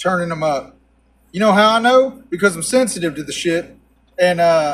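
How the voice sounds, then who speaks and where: This man talks with a Texan accent and a high pitch. His pace is fairly slow. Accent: Texan Southern American. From Texas, USA. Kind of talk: casual talk to camera.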